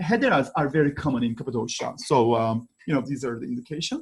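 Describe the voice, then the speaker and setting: With a Turkish accent, a man talks using very wide pitch swings. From Turkey, Istanbul (Kadıköy). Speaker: archaeology professor. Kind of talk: conference presentation. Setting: online conference. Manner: halting, many fillers.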